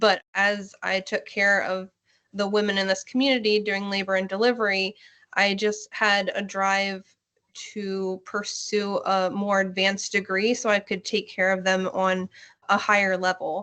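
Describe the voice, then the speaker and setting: A woman's bright, sharp voice at medium pitch, with a Pennsylvania accent, a moderate pace and monotone, flat intonation. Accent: Pennsylvania American English. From Hanover, Pennsylvania. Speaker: labor and delivery nurse. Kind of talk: interview answer.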